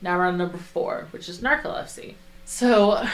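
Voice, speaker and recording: A woman speaks at a moderate pace in an ordinary speaking voice. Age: 20s. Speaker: podcast co-host. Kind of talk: casual podcast chat, explaining researched topic.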